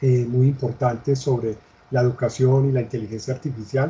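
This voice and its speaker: Speaking in a monotone with flat intonation, a man holds a medium pitch. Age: 60s. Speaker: interviewee, education expert. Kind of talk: interview. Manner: halting, with fillers.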